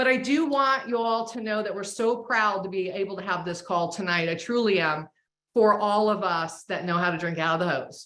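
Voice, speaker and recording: A woman with an American accent speaks in a bright, sharp tone with lively intonation. Her pace is moderate, and the room echo is audible. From Florida, Clearwater. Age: 60s. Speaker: host. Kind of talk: video call hosting. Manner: animated.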